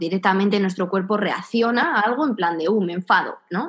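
A woman talks in a normal speaking voice at a moderate pace. Her pitch is medium, with ordinary variation. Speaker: podcast host. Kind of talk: casual chat.

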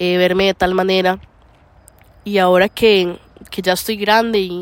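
A woman talks at a moderate pace with monotone, flat intonation. The sound is dry and close, with no echo. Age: 20s. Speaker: podcaster. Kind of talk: reflective monologue. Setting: outdoors by a lake. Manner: halting, with many fillers.

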